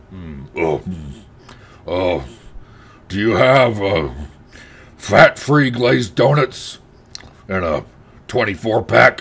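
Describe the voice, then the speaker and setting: A man's put-on character voice at a fairly low pitch, very slow, with long, frequent pauses, very wide pitch swings and big swings in loudness. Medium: voice reel. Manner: slow, spaced-out.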